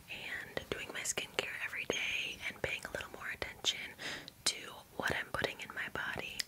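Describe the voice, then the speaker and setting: A woman is whispering at a moderate pace. Noticeable background noise runs underneath. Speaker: ASMR creator. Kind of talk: sponsor read. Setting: close-mic bathroom recording. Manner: whispered, soft, intimate.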